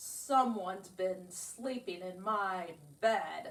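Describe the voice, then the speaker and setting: In a put-on character voice, the speaker growls at a very slow pace. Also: woman, medium pitch for a woman. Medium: read story.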